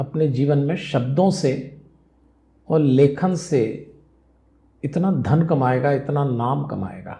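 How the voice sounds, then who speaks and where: This man's voice sits fairly high and carries a dark, mellow tone with a somewhat breathy quality. Audible room echo surrounds it. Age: 60s. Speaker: spiritual speaker and life management guru. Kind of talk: interview.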